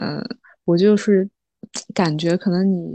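Her tone is dark and mellow, her intonation fairly even. The woman is recorded against a quiet background. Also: dry, close sound with no echo. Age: 20s. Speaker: new mother sharing birth experience. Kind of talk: casual interview chat.

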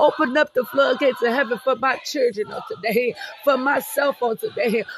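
An extremely high-pitched male voice with lively intonation at a moderate pace, music playing in the background. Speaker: prayer podcast host. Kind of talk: fervent prayer, pleading aloud to God with punctuating 'Hallelujah' and 'Father God'; devotional sermon-like encouragement. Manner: impassioned, rhythmic, repetitive, with emphatic praise-shouts.

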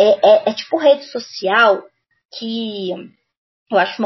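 Very slow speech from a woman, her voice somewhat breathy. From Belo Horizonte, Minas Gerais, Brazil. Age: 30s. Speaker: Portuguese teacher and content creator. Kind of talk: casual interview chat.

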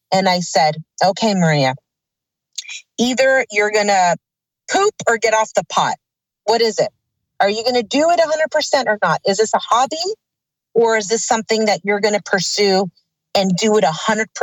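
A woman with a Californian accent speaks at a moderate pace in a fairly high voice, her intonation lively and her loudness very even, with long, frequent pauses. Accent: Californian American. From Los Angeles, California. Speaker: actress. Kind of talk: interview.

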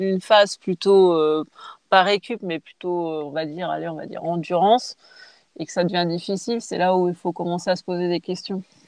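A woman with an unremarkable speaking voice talks at a fairly slow pace. Her pitch is medium and her intonation fairly even. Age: 30s. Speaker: triathlete. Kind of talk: casual interview.

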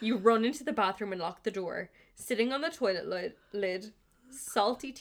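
Reading comes through in an unforced voice.

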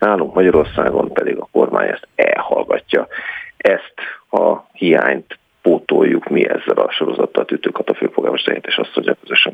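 A man with an extremely high-pitched voice talks at a moderate pace, his pitch varying in an ordinary way. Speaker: politician. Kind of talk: political interview. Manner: animated.

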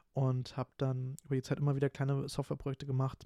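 Dry and close with no echo, this very clean recording with a silent background has a man speaking at a fairly quick pace and medium pitch in a flat monotone with a dark, mellow tone. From Berlin area, Germany. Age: 20s. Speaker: podcast host, student. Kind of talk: casual solo monologue. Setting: home recording at computer. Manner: talkative, frequent fillers. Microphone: new home podcast microphone.

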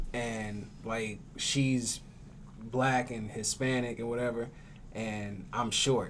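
A man with an American accent speaks very slowly at a medium pitch with monotone, flat intonation and audible room echo. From Tulsa, Oklahoma. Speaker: radio show host and actor. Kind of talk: casual chat.

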